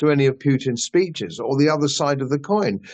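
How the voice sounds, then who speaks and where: A man with a British accent. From England. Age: 70s. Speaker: political commentator, channel host. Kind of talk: interview conversation. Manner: hesitant with fillers.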